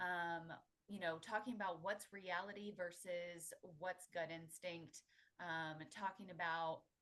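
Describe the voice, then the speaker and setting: A soft-spoken woman talks at a fairly slow pace in a medium pitch with ordinary pitch variation. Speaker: pricing software solutions consultant. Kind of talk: webinar presentation. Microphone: too quiet.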